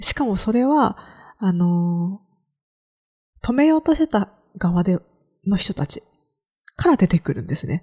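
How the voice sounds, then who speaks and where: Somewhat breathy and dark, mellow in tone, the voice makes very wide pitch swings at a fairly slow pace with long, frequent pauses, in a dry, close sound with no echo. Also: woman, medium pitch for a woman. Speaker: podcast host, freelance creator. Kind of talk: solo podcast monologue, casual.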